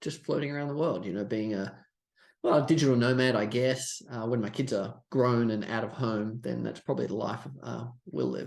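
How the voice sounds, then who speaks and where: A man with an Australian accent speaks with ordinary pitch variation. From Australia, Sydney. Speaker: stock trader and trading coach. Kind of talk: podcast interview.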